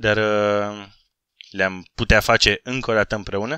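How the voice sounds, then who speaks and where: A man at a fairly low pitch, bright and sharp in tone, fairly slow in pace, in a very clean recording with a silent background and a dry, close sound with no echo. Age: 30s. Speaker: gaming YouTuber. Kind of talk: casual vlog Q&A. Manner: animated.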